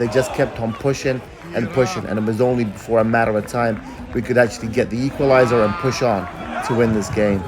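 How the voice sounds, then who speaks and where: Pitch varies in an ordinary way. Noticeable background noise can be heard. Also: man. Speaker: travel vlogger. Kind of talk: vlog narration. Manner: animated.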